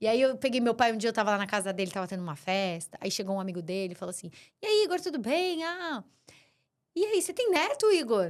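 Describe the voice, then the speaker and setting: A woman's fairly high voice at a very fast pace, with very wide pitch swings, on a very clean recording with a silent background. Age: 40s. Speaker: business owner. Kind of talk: casual chat.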